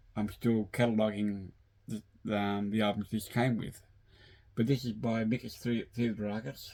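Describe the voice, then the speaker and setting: Very clean and with a silent background, the recording captures a man with an Australian accent speaking at a moderate pace, fairly low in pitch and monotone, with flat intonation. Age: 60s. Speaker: vinyl collector YouTuber. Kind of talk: casual video monologue. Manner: halting, many fillers.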